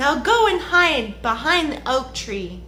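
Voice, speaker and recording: A put-on character voice at a very slow pace over clear background noise. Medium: read story. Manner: calm, knowing.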